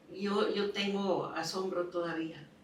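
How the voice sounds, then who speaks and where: A woman at medium pitch speaks amid noticeable background noise and audible room echo. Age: 80s+. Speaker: painter. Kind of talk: interview. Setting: home studio.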